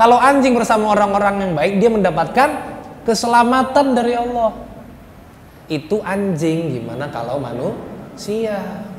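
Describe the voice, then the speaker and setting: Lively intonation marks a man's high-pitched speech. Noticeable background noise and audible room echo are present. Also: moderate pace. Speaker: Islamic preacher. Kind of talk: sermon.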